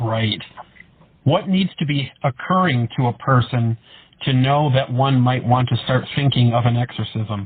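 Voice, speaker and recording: A man's medium-pitched, normal speaking voice at a fairly slow pace, with ordinary pitch variation and very even loudness. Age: 30s. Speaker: podcast host. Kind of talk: interview. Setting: podcast interview.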